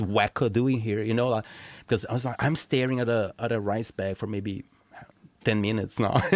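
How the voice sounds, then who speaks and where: In a very clean recording with a silent background, a man with a non-native accent speaks at a fairly quick pace. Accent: foreign accent in Argentina. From Brazil and Argentina. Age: 40s. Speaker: podcast guest, expat. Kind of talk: casual interview chat. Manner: halting, many repetitions.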